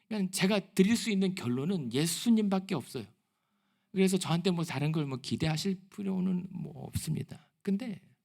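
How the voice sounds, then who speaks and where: This man has a high-pitched voice, ordinary pitch variation and a moderate pace. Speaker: pastor. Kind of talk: sermon.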